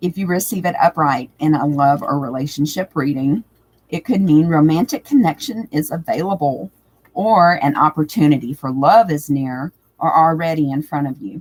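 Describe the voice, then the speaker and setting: A woman with a very deep, low pitch talks at a moderate pace. Her intonation is lively, and the sound is dry and close, with no echo. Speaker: tarot reader. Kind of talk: live stream tutorial talk.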